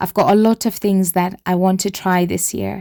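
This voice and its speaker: With fairly even intonation, a woman speaks at a medium pitch in a dark, mellow tone, captured in a very clean recording with a silent background. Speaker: homemaking vlogger. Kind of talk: vlog voiceover.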